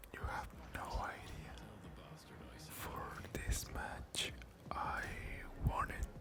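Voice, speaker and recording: Someone whispers over noticeable background noise. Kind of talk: casual talk to camera. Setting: gameplay commentary with keyboard and mouse sounds. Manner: whispered, soft-spoken.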